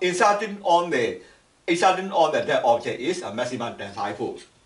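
A man speaking at a fairly quick pace, with audible room echo. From Myanmar. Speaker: engineering lecturer. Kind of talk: lecture. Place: home room. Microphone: camera far.

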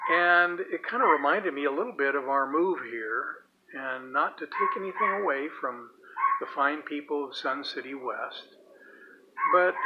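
Loud background noise sits under a man talking at a moderate pace. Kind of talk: casual video message. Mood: warm, relaxed. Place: garden. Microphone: phone near.

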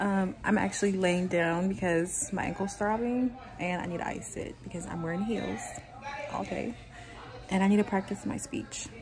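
Noticeable background noise runs beneath a moderate pace and ordinary pitch variation. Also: woman. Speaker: vlogger. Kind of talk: casual vlog chat. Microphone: phone near.

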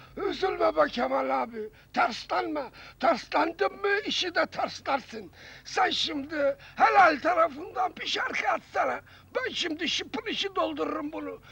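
A man's hoarse, put-on character voice, extremely high in pitch, at a moderate pace. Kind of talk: 1970s comic radio acting. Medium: comedy sketch. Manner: cheeky, street-slangy.

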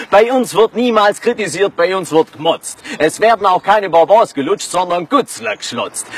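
With a playful tone and a high pitch, a man speaks at a fairly slow pace with very wide pitch swings, in a dry, close sound with no echo and noticeable background noise. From Swabia, southern Germany. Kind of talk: rhyming spoken-word dialect poem. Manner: rhythmic, playful.

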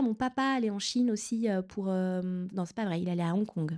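Against a quiet background, a woman talks in a dark, mellow tone. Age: 40s. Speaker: novelist. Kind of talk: author talk. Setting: stage with audience. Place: hall.

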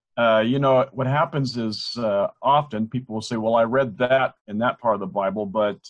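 A man speaks at medium pitch and a fairly quick pace, with ordinary pitch variation and an ordinary speaking voice. The background is quiet. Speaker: ministry resource creator. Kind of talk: casual interview. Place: home room. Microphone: video call.

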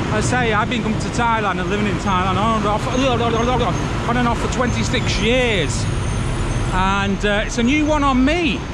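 Loud background noise surrounds a dry sound that carries no echo. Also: moderate pace. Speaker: walking tour vlogger. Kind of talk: casual vlog chat. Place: street. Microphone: phone near.

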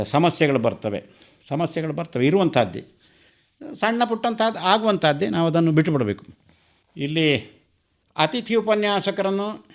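A man speaks with lively intonation at a fairly high pitch. It is an unremarkable speaking voice. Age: 60s. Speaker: retired Kannada scholar and teacher. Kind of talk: radio interview, reminiscence.

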